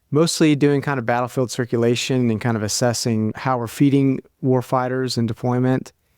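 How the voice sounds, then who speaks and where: A man with an unremarkable speaking voice, medium-pitched, in an American accent, at a moderate pace with fairly even intonation. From US, Kentucky. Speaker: army dietitian and researcher. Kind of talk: interview.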